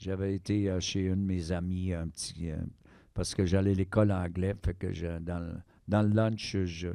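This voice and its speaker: In a very clean recording with a silent background, a man with a Quebec accent speaks at a fairly slow pace with very deep, low pitch, a dark, mellow tone and monotone, flat intonation. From Quebec, Eastern Townships (Sherbrooke). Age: 60s. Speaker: harmonica player. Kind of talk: casual interview chat.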